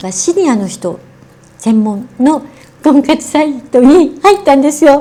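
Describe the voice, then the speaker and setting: Her intonation lively and her pitch high, a woman talks at a rather slow speed. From Japan. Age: 70s. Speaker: beauty and wellness personality. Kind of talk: interview answer.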